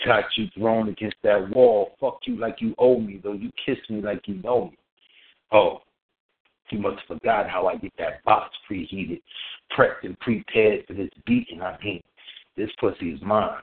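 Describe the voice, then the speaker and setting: Moving at a moderate pace, a man speaks with big swings in loudness. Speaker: poet. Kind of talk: poetry performance. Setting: phone call.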